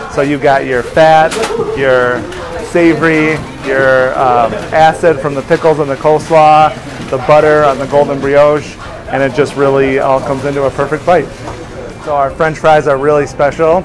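A man at a moderate pace, monotone and flat in intonation, with noticeable background noise. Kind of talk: casual explanatory tour talk. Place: kitchen. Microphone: lapel.

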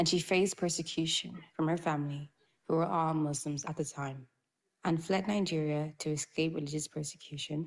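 The voice has vocal fry and fairly even intonation. It moves at a moderate pace. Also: woman.

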